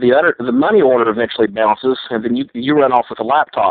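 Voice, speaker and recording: In an American accent, a man talks at a fairly quick pace and a medium pitch. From United States. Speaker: scam baiter. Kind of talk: heated phone argument. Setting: phone call. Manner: animated, lecturing.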